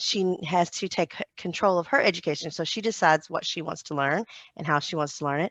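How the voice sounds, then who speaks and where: In a dry, close sound with no echo, a woman with a Southern US accent speaks very fast at a fairly low pitch. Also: quiet background. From US South. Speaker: homeschooling mom. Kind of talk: podcast interview.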